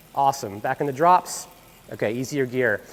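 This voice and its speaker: Speaking at a moderate pace with an American accent, a man lets his pitch swing very widely. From Pennsylvania, USA. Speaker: professional bike fitter. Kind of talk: instructional demonstration narration. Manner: casual, conversational, with fillers.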